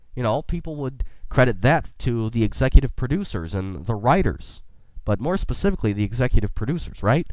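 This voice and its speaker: A man speaks at a fairly quick pace with vocal fry and very wide pitch swings against a quiet background. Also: medium pitch for a man. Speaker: podcast host. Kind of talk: casual podcast talk. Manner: quirky, enthusiastic.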